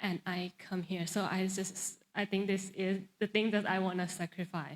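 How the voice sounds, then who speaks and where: Speaking in a Thai accent, a woman's medium-pitched voice moves at a fairly slow pace on a very clean recording with a silent background. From Thailand. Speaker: pageant contestant. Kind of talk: interview Q&A. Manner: halting.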